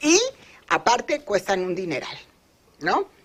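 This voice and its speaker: A woman's medium-pitched voice with very wide pitch swings at a very slow pace, over noticeable background noise. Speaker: pension expert. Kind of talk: interview. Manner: halting; animated.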